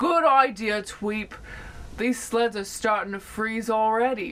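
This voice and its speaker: Over light background noise, a woman puts on a character voice, speaking at a fairly slow pace with a fairly high pitch. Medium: read story. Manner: slow, whiny.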